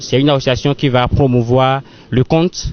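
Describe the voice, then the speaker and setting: The speaker has a Beninese accent and fairly even intonation. Noticeable background noise is present. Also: man. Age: young. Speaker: storyteller, actor. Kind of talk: interview answer.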